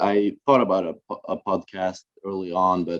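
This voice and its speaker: Recorded dry and close with no echo, a man speaks fairly slowly in a very deep, low pitch. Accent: Norwegian. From northern Norway, Finnmark. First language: Norwegian. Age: 20s. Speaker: university student. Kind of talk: student presentation. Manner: halting, many fillers.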